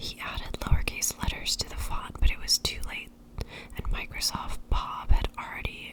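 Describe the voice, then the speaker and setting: With noticeable background noise around it, a whisper moves along at a moderate pace. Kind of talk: ASMR whispered book reading. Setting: close-up binaural microphone, studio. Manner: whispered, soft-spoken.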